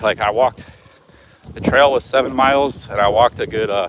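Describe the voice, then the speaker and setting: Over noticeable background noise, a man with an American accent talks at a very fast pace. His medium pitch shows ordinary variation. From United States. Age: 40s. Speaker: travel vlogger. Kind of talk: casual vlog talk.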